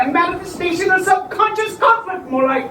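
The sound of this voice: A woman speaks in a put-on character voice at an extremely high pitch, with a bright, sharp tone, lively intonation and a fairly quick pace, and audible room echo.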